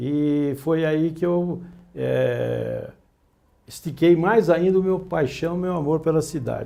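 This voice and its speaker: Pitched high for a man, this voice has a dark, mellow tone. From Greater São Paulo, Brazil. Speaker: journalist. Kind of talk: interview. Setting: studio.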